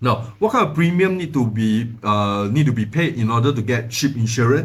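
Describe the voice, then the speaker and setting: In audible room echo, a man with a medium-pitched, somewhat breathy voice speaks with lively intonation. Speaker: finance educator, channel owner. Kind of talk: tutorial. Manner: fast; halting, many fillers and repeats.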